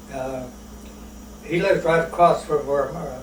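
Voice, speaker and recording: With an American accent, a man with a fairly high voice and fairly even intonation speaks amid noticeable background noise and audible room echo. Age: 80s+. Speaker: elderly interviewee. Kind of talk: oral history interview. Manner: halting, many fillers.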